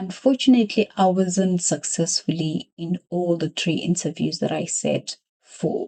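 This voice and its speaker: Dry and close with no echo, a woman's somewhat breathy voice carries a dark, mellow tone and a fairly low pitch at a fairly slow pace. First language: a South African language other than English. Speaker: accountant sharing career story. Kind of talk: personal vlog monologue.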